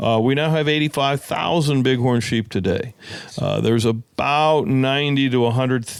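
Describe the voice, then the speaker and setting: A man with an American accent at medium pitch, moderate pace and ordinary pitch variation, over noticeable background noise. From California. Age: 60s. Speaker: conservation organization executive. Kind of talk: podcast interview.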